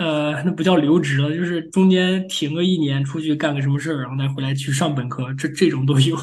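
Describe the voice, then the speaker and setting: Somewhat breathy and at a fairly quick pace, a man speaks in a fairly high pitch with fairly even intonation, and room echo is audible. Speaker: machine learning engineer, PhD graduate. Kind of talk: interview. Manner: halting.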